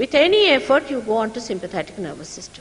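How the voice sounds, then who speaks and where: Very fast and with very wide pitch swings, a woman speaks at a high pitch. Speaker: spiritual teacher. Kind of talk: lecture. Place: hall. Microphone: studio mic.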